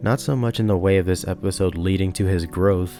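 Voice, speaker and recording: Fairly even intonation runs through the speech, with music in the background. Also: man. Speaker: video essayist. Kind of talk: video essay narration.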